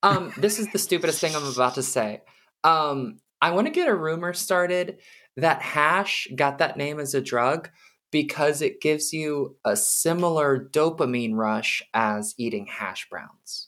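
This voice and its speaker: On a very clean recording with a silent background, the speaker talks at a fairly slow pace with lively intonation. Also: woman, very deep, low pitch for a woman. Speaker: metal musician. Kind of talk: casual chat.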